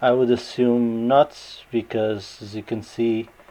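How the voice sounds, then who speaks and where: A medium-pitched man in a Portuguese accent, fairly even in intonation, against noticeable background noise. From Portugal. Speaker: gaming YouTuber. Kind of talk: unboxing video. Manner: hesitant, with fillers.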